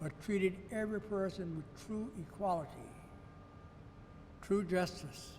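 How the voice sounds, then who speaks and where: A man with an American accent and a high pitch, at a fairly slow pace with ordinary pitch variation, amid audible room echo. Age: 80s+. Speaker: retired judge. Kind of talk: address to camera. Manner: earnest.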